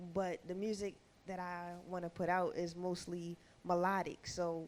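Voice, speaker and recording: A woman speaks at a medium pitch. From Baltimore, Maryland. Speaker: rapper. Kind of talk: interview.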